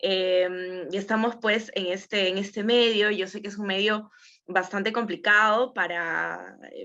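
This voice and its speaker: A woman speaks in a bright, sharp tone at a medium pitch. Her intonation stays fairly even. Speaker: TV presenter and actress. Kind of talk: workshop talk. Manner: casual, hesitant.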